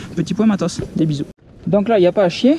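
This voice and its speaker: Fairly quick speech with ordinary pitch variation, over noticeable background noise. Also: man. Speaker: hiking vlogger. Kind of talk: outdoor vlog narration. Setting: outdoors on mountain trail. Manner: casual, interjection-filled; soft-spoken.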